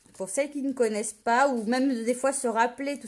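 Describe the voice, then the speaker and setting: A woman at a fairly quick pace, on a very clean recording with a silent background. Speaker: paper craft demonstrator. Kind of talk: live tutorial. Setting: live video stream. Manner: casual, hesitant with many fillers.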